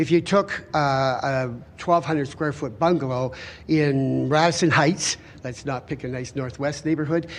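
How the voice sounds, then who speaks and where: A normal speaking voice from a man, moderate in pace, its pitch varying in an ordinary way. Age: 60s. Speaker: home builder and renovator. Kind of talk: public hearing testimony.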